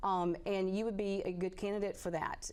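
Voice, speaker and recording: A woman with a Southern accent speaks in a monotone, flat intonation. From Tennessee. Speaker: physician. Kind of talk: call-in advice. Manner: hesitant, many fillers.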